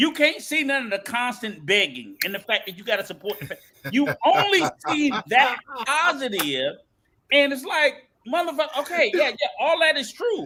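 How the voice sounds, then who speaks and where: A man with an extremely high pitch uses a raised, projected voice, lively intonation, and a moderate pace. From United States. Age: 60s. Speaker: podcast panelist. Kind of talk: heated debate. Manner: animated.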